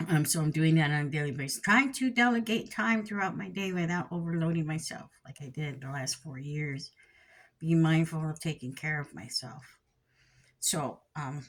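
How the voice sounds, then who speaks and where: At a moderate pace, a woman speaks with lively intonation and a fairly low pitch. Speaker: spiritual teacher. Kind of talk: teaching talk. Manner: halting.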